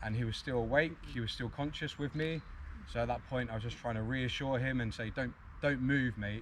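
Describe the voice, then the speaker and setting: A somewhat breathy voice with a British accent and fairly even intonation, plus audible room echo. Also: man, medium pitch for a man, fairly quick pace. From UK. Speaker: arborist. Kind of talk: conference talk.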